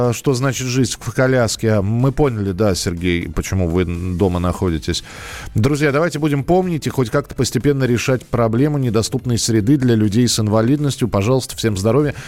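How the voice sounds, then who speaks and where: A man's medium-pitched voice at a fairly quick pace, with lively intonation, very even loudness and noticeable background noise. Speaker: radio host. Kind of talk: live radio call-in show.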